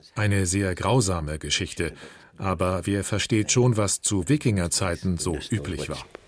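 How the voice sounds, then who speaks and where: Pitch varies in an ordinary way at a moderate pace. The background is silent on this very clean recording. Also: man, very deep, low pitch for a man. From France. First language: French (speaking German). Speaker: French teacher. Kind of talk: interview.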